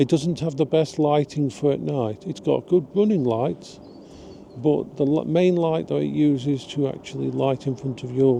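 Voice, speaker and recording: In an English accent, a man talks at a fairly slow pace. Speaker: vlogger. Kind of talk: casual vlog monologue.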